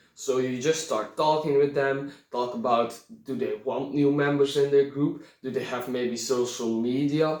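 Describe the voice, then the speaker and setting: A man with a non-native accent speaks at a fairly slow pace, his pitch fairly high and his intonation fairly even. Room echo is audible. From Belgium. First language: not English. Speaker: reenactment YouTuber. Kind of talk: tutorial. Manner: halting.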